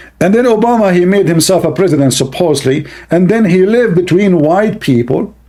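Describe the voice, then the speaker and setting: A voice with an Arabic accent and a dark, mellow tone moves at a fairly quick pace, keeping very even loudness and lively intonation. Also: man, high pitch for a man. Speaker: YouTube commentator. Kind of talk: reaction commentary. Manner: animated.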